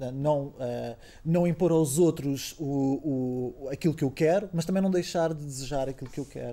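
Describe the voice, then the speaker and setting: A man speaks at a moderate pace. His tone is dark and mellow, with ordinary pitch variation. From Portugal. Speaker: theatre artist. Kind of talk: interview. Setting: studio.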